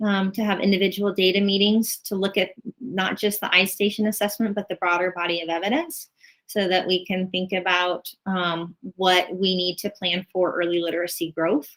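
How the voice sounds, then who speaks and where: A woman speaks at a medium pitch. Her intonation is fairly even. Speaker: school administrator. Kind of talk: virtual meeting presentation. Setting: video call. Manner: fast.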